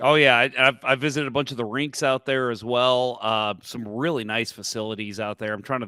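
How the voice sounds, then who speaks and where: With a bright, sharp tone and medium pitch, a man talks fairly quickly with hardly any pauses and fairly even intonation, recorded very cleanly over a silent background. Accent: American. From St. Louis, US Midwest. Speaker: podcast host. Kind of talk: podcast interview.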